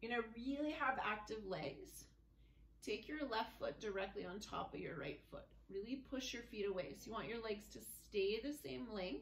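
A woman with vocal fry talks at a moderate pace, her pitch swinging very widely. Room echo is audible, along with light background noise. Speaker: fitness instructor. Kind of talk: guided floor movement class with relaxation cues. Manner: calm, clear, step-by-step instructions in an even, soothing pace; soft and gentle when guiding relaxation. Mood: calm, gentle. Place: home room. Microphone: camera far.

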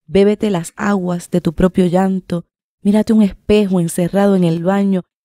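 A woman with a Puerto Rican accent and a dark, mellow tone at a fairly slow pace, in a dry sound with no echo and a quiet background. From Puerto Rico. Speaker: writer and poet; poet. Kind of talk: reading aloud. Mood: calm, somber, intimate. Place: studio. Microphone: studio mic.

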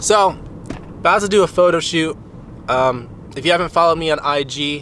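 A man at a fairly quick pace with ordinary pitch variation, dry sound with no echo and light background noise. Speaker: vlogger driving. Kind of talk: casual vlog chat. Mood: playful, joking. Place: car. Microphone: phone near.

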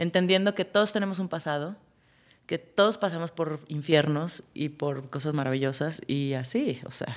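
A woman speaks at a moderate pace in a very deep, low pitch. Her intonation is lively. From Mexico City. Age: 40s. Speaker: music supervisor; podcast guest. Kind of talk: casual chat. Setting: studio. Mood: warm, lively, reflective. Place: studio. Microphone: studio mic.

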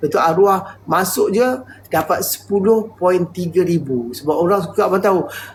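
This man has a high pitch and speaks at a moderate pace. Noticeable background noise can be heard. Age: 50s. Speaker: livestreamer. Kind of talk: live stream chat. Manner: halting.

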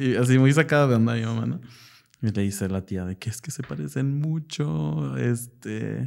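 A man with a fairly low pitch and a dark, mellow tone talks at a fairly slow pace on a very clean recording with a silent background. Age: 20s. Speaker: psychologist. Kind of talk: personal testimony interview.

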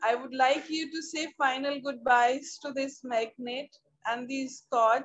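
Speaking very slowly, a woman keeps her high pitch at a fairly even intonation. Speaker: meditation guide. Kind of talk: guided meditation. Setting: video call. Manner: slow, calm, soothing. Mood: calm, soothing, smiling. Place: home room. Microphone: video call.

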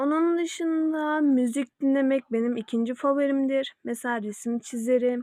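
Recorded with a dry, close sound and no echo, a woman speaks at a high pitch and a fairly slow pace, with hardly any pauses. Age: young. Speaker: YouTuber. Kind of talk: casual vlog self-introduction. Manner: hesitant with fillers.

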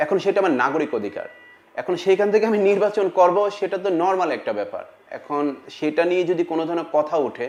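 A man speaks with a high pitch. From Bangladesh, Cumilla. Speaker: film actor. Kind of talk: interview statement.

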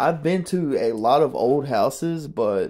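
Dark, mellow tone from a man. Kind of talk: casual vlog commentary. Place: bathroom. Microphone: phone near.

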